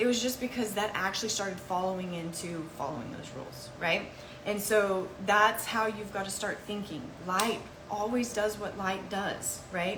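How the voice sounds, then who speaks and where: A woman's medium-pitched voice with ordinary pitch variation, audible room echo and noticeable background noise. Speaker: health educator. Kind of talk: live Q&A session. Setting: livestream. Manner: fast.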